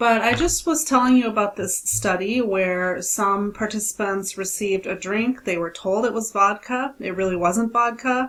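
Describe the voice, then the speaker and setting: A woman with an unremarkable speaking voice talks in a medium pitch at a moderate pace, with hardly any pauses. Her pitch varies in an ordinary way. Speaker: statistics instructor. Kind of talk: recorded lecture.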